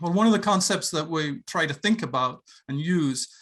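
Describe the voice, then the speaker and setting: Speaking with an Irish accent, a man talks at a moderate pace in a bright, sharp tone against a quiet background. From Ireland. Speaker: professor. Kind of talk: lecture. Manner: halting, many fillers.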